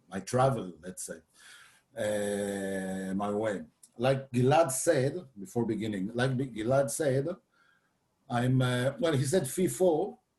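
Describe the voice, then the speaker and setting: At a very slow pace, a man with a medium pitch and a dark, mellow tone speaks somewhat breathily, his intonation lively. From France, Paris. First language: French. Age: 60s. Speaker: photographer and philosopher. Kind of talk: workshop presentation. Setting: video call. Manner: halting.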